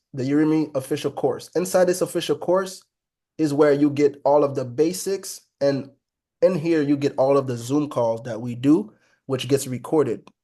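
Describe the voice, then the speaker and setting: Against a quiet background, a man talks at a moderate pace with a fairly high pitch and a dark, mellow tone. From Haiti. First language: Haitian Creole. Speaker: trading educator. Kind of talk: live online trading class. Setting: video call. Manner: casual, conversational.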